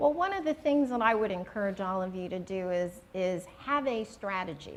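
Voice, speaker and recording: There is noticeable background noise as a woman talks at a moderate pace with lively intonation. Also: medium pitch for a woman. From New York City (Queens). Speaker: retired corporate lawyer, alumna. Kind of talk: interview at school luncheon.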